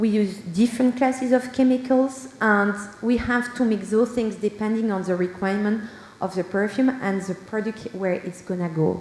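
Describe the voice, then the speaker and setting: A woman speaks in a Belgian French accent at a moderate pace with fairly even intonation. Her pitch is fairly high, and background noise is noticeable. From Belgium. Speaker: perfumer and senior scientist. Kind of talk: conference talk.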